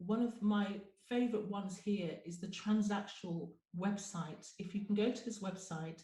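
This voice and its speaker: A woman speaks at a moderate pace with medium pitch and fairly even intonation. Room echo is audible. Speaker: GP and webinar presenter. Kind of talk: webinar presentation.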